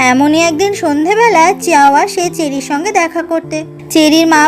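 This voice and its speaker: Music plays behind a woman whose extremely high-pitched voice shows ordinary pitch variation. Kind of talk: drama plot explanation narration. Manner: soothing.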